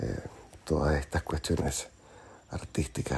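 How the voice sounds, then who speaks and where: The tone is dark and mellow, with vocal fry. Speech unfolds at a fairly slow pace. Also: man. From Nicaragua. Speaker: singer-songwriter. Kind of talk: interview. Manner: halting, with many fillers.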